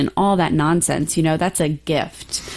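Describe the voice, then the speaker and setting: At a moderate pace, a woman with an unremarkable speaking voice talks with fairly even intonation. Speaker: podcast co-host. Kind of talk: casual podcast chat. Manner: casual, conversational with filler words.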